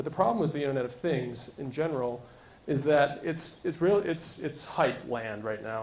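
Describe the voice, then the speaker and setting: A fairly high-pitched man's voice with audible room echo. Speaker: tech startup founder. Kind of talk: conference talk. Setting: stage with audience. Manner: fast.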